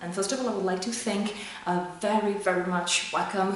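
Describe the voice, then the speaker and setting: A woman with a French accent talks at a fairly quick pace and with fairly even intonation, her voice carrying an audible room echo. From France. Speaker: sales manager demoing software hardware; product reviewer. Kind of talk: product review. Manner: halting, many fillers. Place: office. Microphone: camera far.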